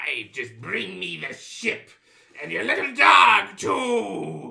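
Very slowly, a man delivers his lines in a raspy put-on character voice. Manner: evil, arch.

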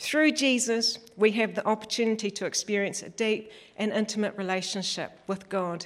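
A woman speaks in a Southland New Zealand accent. Her voice is fairly high, her pace moderate and her intonation fairly even. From New Zealand, Western Southland. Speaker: church elder, lay preacher. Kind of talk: sermon.

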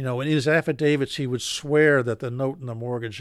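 Very fast speech comes from a man with an American accent and a medium pitch. The sound is dry and close, with no echo. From Philadelphia, then Maine. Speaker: foreclosure defense lawyer. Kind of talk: radio interview.

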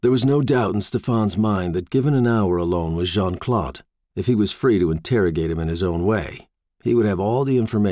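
Someone is reading aloud in a natural voice with lively intonation over a quiet background.

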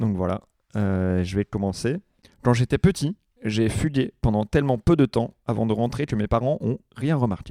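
Here a man speaks at a fairly slow pace and medium pitch, with a dark, mellow tone and ordinary pitch variation. The sound is dry and close, with no echo. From Vienne, France. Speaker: comedian. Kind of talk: casual chat. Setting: studio.

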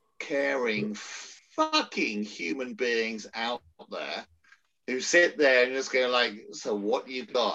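With an English accent, a man speaks at a very slow pace with long, frequent pauses, his bright, sharp tone at a medium pitch with ordinary pitch variation. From England. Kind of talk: casual chat.

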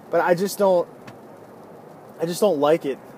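This clip features a man speaking. Noticeable background noise is present. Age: 20s. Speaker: podcaster and band musician. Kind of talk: casual monologue. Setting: in a car. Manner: casual, filler-heavy.

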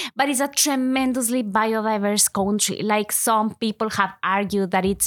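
A woman speaks at a moderate pace with medium pitch and fairly even intonation. The recording is very clean, with a silent background. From Ecuador. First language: Spanish. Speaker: university lecturer. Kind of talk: interview conversation.

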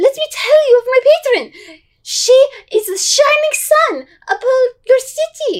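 In a put-on character voice, a woman squeaks at an extremely high pitch. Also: moderate pace. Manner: earnest, proselytizing.

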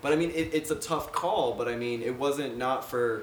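With noticeable background noise behind him, this man talks at a moderate pace. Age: 20s. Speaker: musician and sound engineer. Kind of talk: casual chat.

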